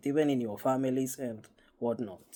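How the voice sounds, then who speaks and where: A man with a Kenyan accent, a dark, mellow tone, medium pitch, fairly even intonation and a fairly slow pace. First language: Kikuyu. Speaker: spiritual YouTuber. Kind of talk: casual monologue. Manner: halting, repetitive.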